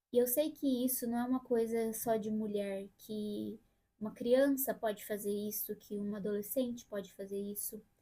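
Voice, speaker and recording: A woman's somewhat breathy, dark and mellow voice, fairly high in pitch, at a moderate pace with fairly even intonation. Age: 30s. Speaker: vlogger. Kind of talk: personal vlog monologue. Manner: casual.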